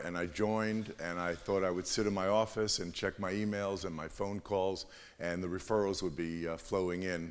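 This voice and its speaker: In a New York accent, a man speaks with a very deep, low pitch and monotone, flat intonation. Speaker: lawyer, award nominee. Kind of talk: presentation to audience.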